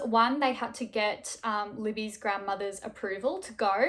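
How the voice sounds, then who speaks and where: Her voice has a bright, sharp tone. She speaks with an Australian accent. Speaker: true crime YouTuber. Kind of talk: casual storytelling narration. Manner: conversational, frequent fillers.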